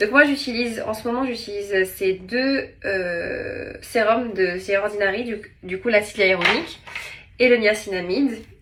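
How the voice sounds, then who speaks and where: A woman talks fairly slowly with ordinary pitch variation. Noticeable background noise and audible room echo fill the recording. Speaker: TV presenter and vlogger. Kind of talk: casual vlog; beauty tutorial. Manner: animated.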